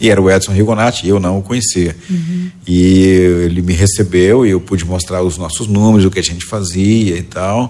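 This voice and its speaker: A man speaks at a moderate pace in a very deep, low voice with a dark, mellow tone and fairly even intonation. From Goiás, central-western Brazil. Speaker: educator and entrepreneur. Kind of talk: podcast interview.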